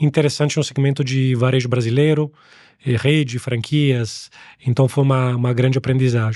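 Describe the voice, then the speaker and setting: A man with an Italian accent at a medium pitch, moderate pace and fairly even intonation, in a dry, close sound with no echo. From Italy. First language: Italian (speaking Portuguese). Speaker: angel investor. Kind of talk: interview. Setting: studio.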